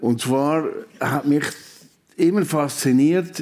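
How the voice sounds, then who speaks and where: A man talks at a very slow pace. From Switzerland, Valais. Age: 70s. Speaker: retired immunology professor. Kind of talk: radio interview. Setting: live radio show before audience.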